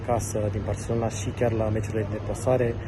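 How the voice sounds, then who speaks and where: A fairly low-pitched man with monotone, flat intonation amid noticeable background noise and audible room echo. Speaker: fan page admin. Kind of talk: self-introduction. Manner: hesitant, many fillers.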